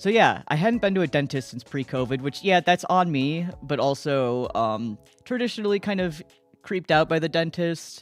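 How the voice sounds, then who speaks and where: A man with an American accent speaks at a moderate pace, his pitch fairly high and his intonation lively. Music plays in the background. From New York. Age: 30s. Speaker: streamer. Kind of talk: casual chat. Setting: livestream. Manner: rambling conversational.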